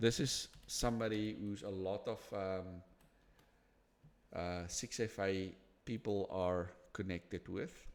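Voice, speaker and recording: In a very clean recording with a silent background, the speaker uses a non-native accent, fairly even intonation and a very slow pace with long, frequent pauses. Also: man, fairly low pitch for a man. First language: not English. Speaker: interview host. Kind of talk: casual interview conversation. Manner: halting, many repetitions and restarts.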